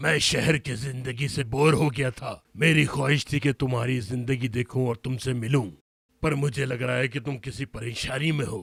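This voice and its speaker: In a cartoonish character voice, a man with a raspy, medium-pitched sound speaks at a moderate pace. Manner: fussy, disdainful.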